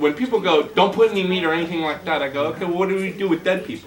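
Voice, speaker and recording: Talking very fast in an animated tone, a man with a high voice uses ordinary pitch variation amid noticeable background noise. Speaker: gardening workshop instructor. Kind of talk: workshop class talk.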